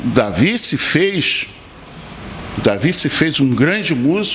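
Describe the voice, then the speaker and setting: The pace is very slow, and the pitch swings very widely. Background noise is noticeable. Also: man. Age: 60s. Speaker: pastor and bass player. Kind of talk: podcast interview.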